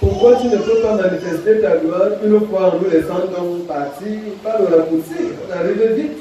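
Amid strong room echo and light background noise, a man with a high pitch speaks at a moderate pace with ordinary pitch variation. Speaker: preacher. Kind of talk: sermon. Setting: church. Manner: formal, didactic; measured, earnest pulpit delivery. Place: church.

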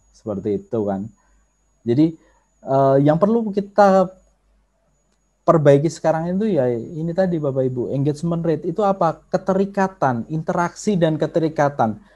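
Against a quiet background, a man speaks at a moderate pace with a fairly high pitch. His tone is dark and mellow, and his intonation is lively. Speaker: workshop trainer on social media marketing; presenter. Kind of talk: online workshop lecture; lecture. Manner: conversational with frequent filler hesitations. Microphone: video call.

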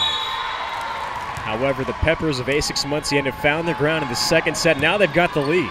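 Noticeable background noise fills the recording. A man is the one talking. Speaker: play-by-play announcer. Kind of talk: live sports commentary. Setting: arena broadcast.

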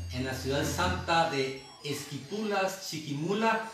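Audible room echo and light background noise surround a man's voice. His pitch is fairly high and his intonation lively. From Guatemala. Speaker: radio host. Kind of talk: radio interview introduction. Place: home room. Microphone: camera far.

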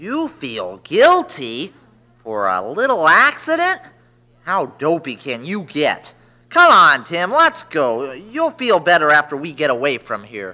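A man's fairly high voice at a fairly slow pace, with big swings in loudness. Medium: audio drama. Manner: whiny, nervous.

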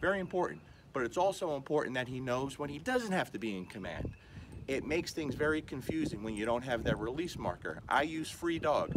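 Noticeable background noise behind a man talking at a fairly quick pace. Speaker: dog trainer. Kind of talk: tutorial. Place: street. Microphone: camera far.

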